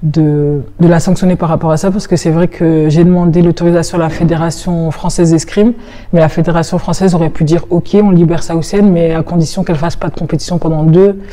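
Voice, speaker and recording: A woman speaks fairly quickly in a fairly low, flat monotone. Noticeable background noise is present. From northern France, Roubaix. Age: 20s. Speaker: fencer. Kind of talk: interview testimony.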